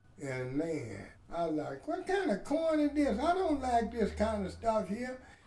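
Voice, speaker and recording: In a room with audible echo, a man talks fairly slowly at a high pitch with very wide pitch swings. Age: 70s. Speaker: adult learner. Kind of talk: interview testimony.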